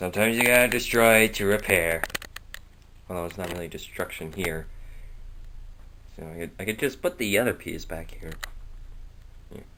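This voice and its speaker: Over noticeable background noise, a man with a fairly low pitch speaks at a moderate pace, with ordinary pitch variation and long, frequent pauses. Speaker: hobbyist model builder. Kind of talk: casual workshop vlog. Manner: quiet, soft-spoken; hesitant, filler-heavy.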